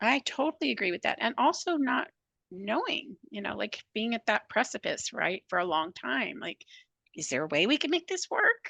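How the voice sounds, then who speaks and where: With a bright, sharp tone and vocal fry, a woman speaks at a moderate pace and fairly high pitch, her pitch swinging very widely, in a dry, close sound with no echo. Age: 60s. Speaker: psychotherapist. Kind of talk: casual chat.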